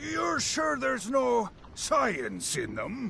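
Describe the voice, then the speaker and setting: A man in a put-on character voice at a very slow pace over clear background noise. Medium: video game. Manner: excitable, gullible.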